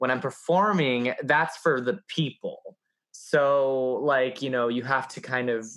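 A man with a plain, everyday voice, medium pitch, ordinary pitch variation and a fairly slow pace. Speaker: podcast co-host. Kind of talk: casual chat.

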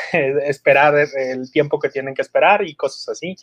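A man's fairly high voice at a moderate pace. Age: 40s. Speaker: marketing and PR executive. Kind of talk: interview. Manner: halting, many repetitions and fillers.

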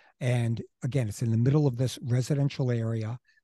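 A man with a dark, mellow tone and a somewhat breathy voice speaks at a moderate pace with fairly even intonation, the sound dry and close with no echo. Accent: American. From Queens, New York City. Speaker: local history podcast co-host. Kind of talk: casual conversational history podcast. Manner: halting, many false starts and fillers.

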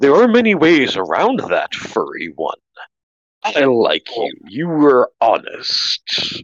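A man performs a put-on character voice at a fairly high pitch. He moves at a fairly slow pace. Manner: approving, friendly.

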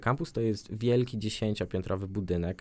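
In a very clean recording with a silent background, a man speaks with a fairly low pitch, a dark, mellow tone and ordinary pitch variation. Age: 20s. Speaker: language school ambassador, psychology student. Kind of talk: radio interview.

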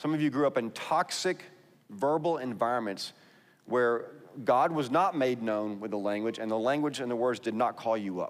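Someone with a Texas accent speaks at a moderate pace. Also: man, medium pitch for a man, ordinary pitch variation. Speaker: pastor. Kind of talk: sermon.

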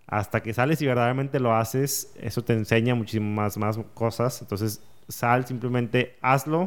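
In a very clean recording with a silent background, a man with an unremarkable speaking voice talks at medium pitch and a moderate pace, keeping his intonation fairly even. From northern Mexico, Saltillo. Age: 30s. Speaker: entrepreneur and podcaster. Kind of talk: casual interview. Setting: podcast studio.

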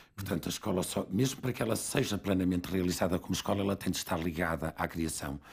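A man's very deep, low voice, very fast in pace, with very even loudness. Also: ordinary pitch variation, hardly any pauses. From northern Portugal (Barcelos). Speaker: theatre school co-founder. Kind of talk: interview conversation.

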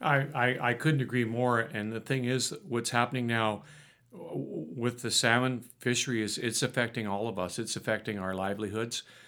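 A man with a Canadian accent, medium pitch and a bright, sharp tone. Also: ordinary pitch variation, moderate pace. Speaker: business owner and fisherman. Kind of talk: casual interview conversation. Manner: halting, repeats words.

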